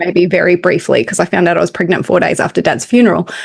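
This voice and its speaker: Speaking at a medium pitch with an Australian accent, a woman's voice shows vocal fry. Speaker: spiritual medium and podcast co-host. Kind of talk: casual chat.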